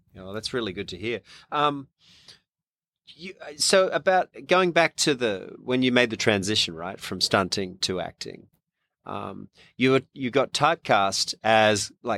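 A man with an Australian accent speaks at a fairly slow pace in a bright, sharp tone. His pitch swings very widely and his loudness rises and falls in big swings, all in a very clean recording with a silent background. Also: dry, close sound with no echo. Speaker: magazine publisher and podcast host. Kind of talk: casual interview. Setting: studio.

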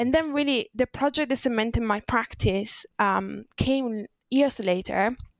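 With an Italian accent and ordinary pitch variation, a woman is heard in a very clean recording with a silent background and a dry, close sound with no echo. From Italy. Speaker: designer and illustrator. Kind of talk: interview conversation.

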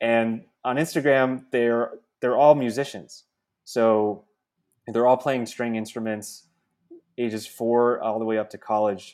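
A man with a New Jersey accent talks at a fairly slow pace with fairly even intonation and long, frequent pauses. The recording is very clean, with a silent background. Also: medium pitch for a man. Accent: American, New Jersey. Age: 30s. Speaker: venture capitalist. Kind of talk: casual chat.

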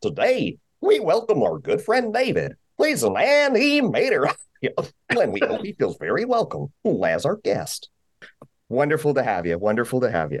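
Putting on a character voice, a man speaks at a fairly slow pace with long, frequent pauses. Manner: goofy, jovial.

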